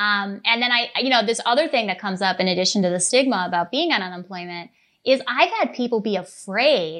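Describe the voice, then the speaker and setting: This woman, speaking with an American accent, has an ordinary speaking voice at a medium pitch. Her pace is moderate, and the background is quiet. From Minnesota, US. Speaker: attorney. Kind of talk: interview.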